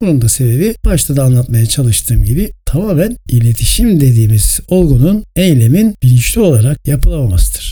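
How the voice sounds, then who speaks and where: At a moderate pace, a somewhat breathy man with a fairly high pitch speaks with very wide pitch swings, very even loudness and hardly any pauses. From Turkey, İzmir. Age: 60s. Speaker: podcast host, journalist and communication expert. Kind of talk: solo podcast talk, scripted monologue. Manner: formal.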